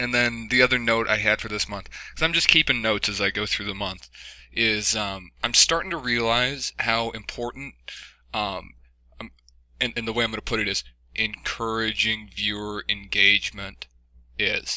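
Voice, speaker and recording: Bright and sharp in tone, a man speaks at a moderate pace with fairly even intonation. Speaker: YouTuber giving channel update. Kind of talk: casual monologue. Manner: halting, many fillers.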